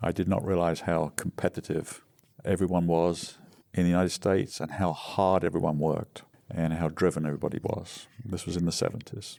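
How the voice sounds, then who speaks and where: With an English accent, a man speaks at a moderate pace in a very deep, low, dark and mellow voice with monotone, flat intonation, in a very clean recording with a silent background. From England. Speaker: recovering alcoholic, retired business founder. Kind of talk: interview testimony. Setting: podcast interview.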